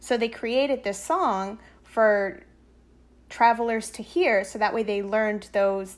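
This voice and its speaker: Over a silent background in a very clean recording, a woman talks fairly slowly in an ordinary speaking voice, fairly high in pitch with ordinary pitch variation. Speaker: music therapist. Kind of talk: casual podcast chat.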